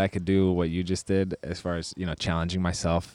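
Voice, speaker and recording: A man in a very clean recording with a silent background, the sound dry and close with no echo. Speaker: podcast co-host and athlete. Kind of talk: casual chat. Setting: on location at a sports event venue. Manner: normally low and quiet.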